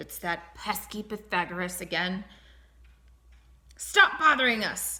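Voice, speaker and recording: Doing a put-on character voice, a woman sounds gruff and rumbling at a medium pitch, with lively intonation, a fairly slow pace and long, frequent pauses. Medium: read story. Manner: gruff, grumbling.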